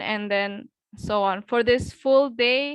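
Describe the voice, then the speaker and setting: A woman with an Indonesian accent, fairly high in pitch, at a very slow pace with ordinary pitch variation, against a quiet background. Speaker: English tutor. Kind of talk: online class. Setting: video call.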